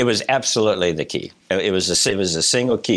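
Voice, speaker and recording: Lively intonation marks a man's speech in an American accent. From Illinois, Rockford. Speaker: hospital system CEO. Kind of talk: interview.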